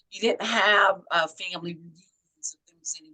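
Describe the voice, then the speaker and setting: This woman speaks at a moderate pace with a bright, sharp tone. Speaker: poet and author. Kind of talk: interview answer.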